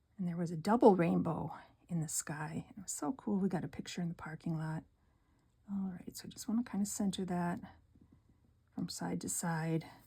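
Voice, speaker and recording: With an American accent, a woman speaks at a moderate pace with long, frequent pauses and big swings in loudness. Her voice is somewhat breathy, with a dark, mellow tone, a fairly low pitch and ordinary pitch variation. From northern Wisconsin. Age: 60s. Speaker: card-making crafter. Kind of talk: craft tutorial. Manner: soft-spoken; casual, with fillers.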